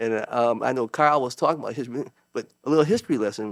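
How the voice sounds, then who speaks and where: A man speaks at a fairly quick pace in an American accent. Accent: inner city. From US Northeast, Waterbury, Connecticut. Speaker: judge and author. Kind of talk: casual chat. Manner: halting, many fillers.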